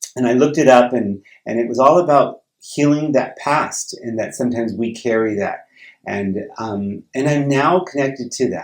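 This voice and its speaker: A man with an American accent talks at a moderate pace and a medium pitch. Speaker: retiring teacher and vlogger. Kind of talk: personal vlog. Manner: hesitant, many fillers.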